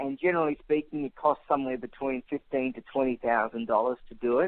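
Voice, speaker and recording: A man with an Australian accent speaks fairly quickly. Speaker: author and immigration advocate. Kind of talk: radio interview.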